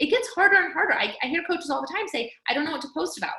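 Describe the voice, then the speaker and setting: A woman with an American accent speaks in a raised, projected voice. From California, Fresno. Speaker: team coach. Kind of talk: team training call. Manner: fast; animated.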